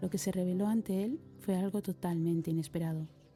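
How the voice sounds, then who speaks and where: The tone is calm and the intonation fairly even at a moderate pace. Music plays in the background. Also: woman. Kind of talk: reflective voice-over narration.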